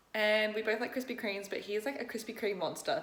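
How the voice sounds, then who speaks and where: Over noticeable background noise, a woman talks at a very fast pace with a fairly high pitch. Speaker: fitness vlogger and bikini competitor. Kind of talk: casual vlog talk to camera. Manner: casual, chatty.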